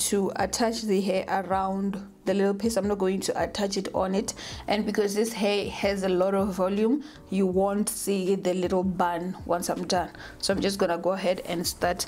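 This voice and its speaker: Light background noise runs under a woman's voice. She keeps a moderate pace. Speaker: hair vlogger. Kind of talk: tutorial.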